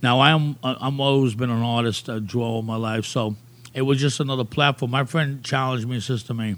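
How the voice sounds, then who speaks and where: A man speaks at medium pitch in a New York accent. His pace is moderate and his intonation fairly even. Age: old. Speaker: graffiti artist. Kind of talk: casual interview.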